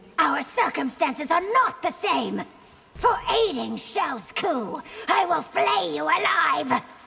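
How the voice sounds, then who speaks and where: A woman puts on a character voice, pitched extremely high with very wide swings. She speaks at a fairly slow pace. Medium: video game. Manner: fierce, threatening.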